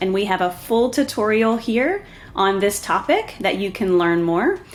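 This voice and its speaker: This woman speaks with a Southern US accent. Her medium-pitched voice has lively intonation. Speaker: software tutorial presenter. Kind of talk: tutorial. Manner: casual, with filler ums.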